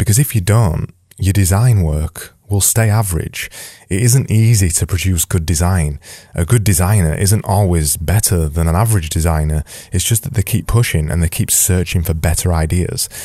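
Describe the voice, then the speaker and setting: A man with a Yorkshire accent talks at a moderate pace in a very deep, low pitch with ordinary pitch variation, sounding dark, mellow and somewhat breathy. The recording is very clean, with a silent background. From Yorkshire, England. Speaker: design podcast host. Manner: energetic, emphatic.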